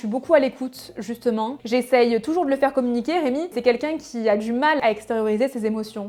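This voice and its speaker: Noticeable background noise sits under this recording. A woman speaks at a high pitch with ordinary pitch variation. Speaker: fashion YouTuber. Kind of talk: casual Q&A vlog. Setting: home video, natural light. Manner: hesitant fillers.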